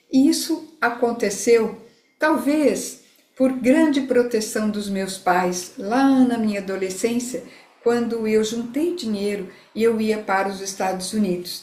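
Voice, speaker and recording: Against audible room echo, a woman with a fairly high pitch and a somewhat breathy voice talks at a very slow pace, with ordinary pitch variation. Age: 60s. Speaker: integrative therapist. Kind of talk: live talk to online audience.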